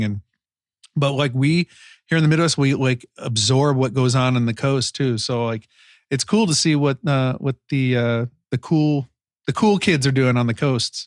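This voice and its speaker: A man's medium-pitched voice at a moderate pace, with ordinary pitch variation and very even loudness, on a very clean recording with a silent background, dry and close with no echo. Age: 40s. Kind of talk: casual chat. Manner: animated.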